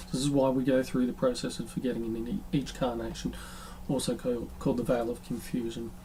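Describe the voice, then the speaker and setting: Room echo is audible throughout. The speaker talks at a fairly quick pace with fairly even intonation. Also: man, medium pitch for a man. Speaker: spiritual podcast host. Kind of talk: solo monologue on spirituality. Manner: fast; hesitant, many filler ums.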